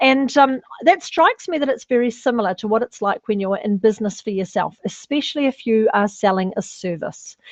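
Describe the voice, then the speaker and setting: The speaker has a New Zealand accent and lively intonation, talking at a fairly quick pace with hardly any pauses. The sound is dry and close with no echo. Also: woman, fairly high pitch for a woman. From New Zealand, North Island. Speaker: personal branding specialist. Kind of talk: webinar presentation. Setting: online webinar.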